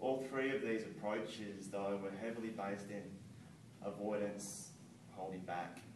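A man with a fairly low pitch talks in an ordinary speaking voice, his intonation fairly even. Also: moderate pace. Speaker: person who stutters, McGuire program graduate. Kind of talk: public speaking club speech.

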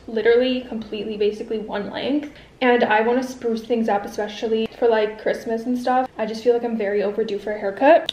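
A woman's very fast speech with fairly even intonation and audible room echo. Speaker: vlogger. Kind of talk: casual vlog chat. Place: home room. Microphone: phone near.

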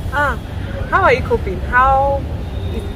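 There is noticeable background noise as a woman speaks. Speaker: vlogger host. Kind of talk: casual vlog chat. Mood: relaxed, full after meal. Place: garden.

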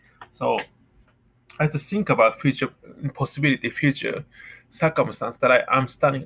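With a Japanese accent, a man talks at a fairly quick pace, his loudness swinging widely and his speech broken by long, frequent pauses. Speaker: vlogger. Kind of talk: personal monologue; casual vlog chat on faith. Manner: halting. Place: home room. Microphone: webcam.

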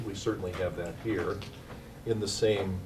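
Noticeable background noise sits behind the speaker. A man talks at a moderate pace with a fairly low pitch. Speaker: invited lecturer. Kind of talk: lecture. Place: hall. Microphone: podium.

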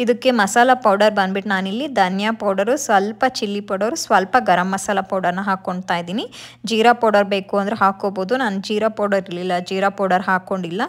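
Moving at a fairly quick pace with few pauses, a woman speaks at a medium pitch with fairly even intonation.

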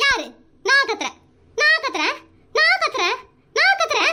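A woman uses a squeaky put-on character voice at an extremely high pitch, swinging very widely in pitch at a moderate pace. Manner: shouting defensively.

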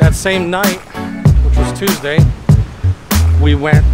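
Loud music plays in the background. The sound is dry, with no echo. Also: man. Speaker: truck driver vlogger. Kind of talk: casual vlog chat. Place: street. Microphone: phone near.

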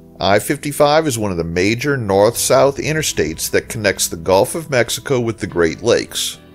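Over music in the background, the speaker talks at a moderate pace with lively intonation. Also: man. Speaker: travel channel narrator. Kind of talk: documentary narration.

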